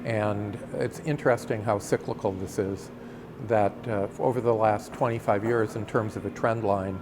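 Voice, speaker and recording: A man's fairly low voice with fairly even intonation at a moderate pace, over noticeable background noise. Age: 60s. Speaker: community resident interviewed about the neighborhood. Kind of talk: documentary interview. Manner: halting, many fillers.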